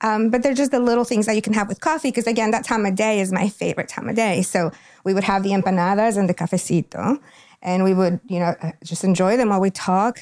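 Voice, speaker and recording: A woman with a Spanish accent at a very fast pace, ordinary pitch variation, dry, close sound, no echo. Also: medium pitch for a woman. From Ecuador (Quito). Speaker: school district family engagement coordinator. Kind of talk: interview.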